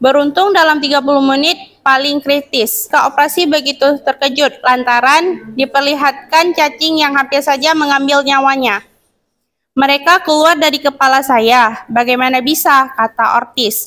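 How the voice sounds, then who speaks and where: High-pitched woman's voice, bright and sharp in tone, at a moderate pace with very even loudness. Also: ordinary pitch variation. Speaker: university student; presenter. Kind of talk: reading aloud. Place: classroom.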